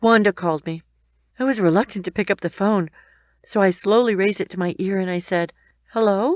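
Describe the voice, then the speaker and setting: A woman in an unremarkable speaking voice talks at a fairly quick pace and medium pitch, in a very clean recording with a silent background and a dry, close sound with no echo. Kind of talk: emotional first-person story narration.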